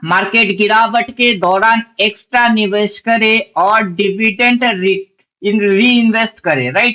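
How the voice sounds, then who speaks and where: Raising and projecting his voice, a man with a Bengali accent speaks at a high pitch with fairly even intonation. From Bengal, India. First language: Bengali (speaking Hindi). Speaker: stock market trading educator. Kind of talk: tutorial. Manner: halting, self-correcting.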